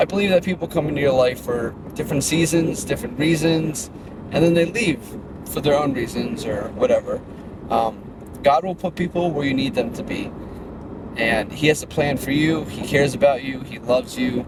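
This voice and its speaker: Noticeable background noise accompanies speech with lively intonation. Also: man, fairly high pitch for a man. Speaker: fitness brand owner and vlogger. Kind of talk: casual vlog monologue. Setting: in a car. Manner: fast.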